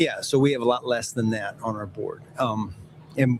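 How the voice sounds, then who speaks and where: There is noticeable background noise while a man talks at a moderate pace and medium pitch. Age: 60s. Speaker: football executive. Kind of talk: interview. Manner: halting.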